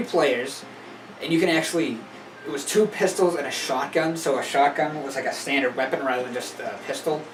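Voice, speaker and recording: In a Massachusetts accent, a man talks at a fairly quick pace with a fairly high pitch and ordinary pitch variation. Audible room echo and noticeable background noise fill the recording. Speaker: gaming YouTuber. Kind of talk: casual monologue. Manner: hesitant, many fillers.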